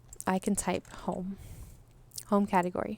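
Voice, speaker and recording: The speaker is a woman with a medium pitch. Her recording is very clean against a silent background. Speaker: web support tutor. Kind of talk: tutorial. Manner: fast; casual, hesitant with fillers.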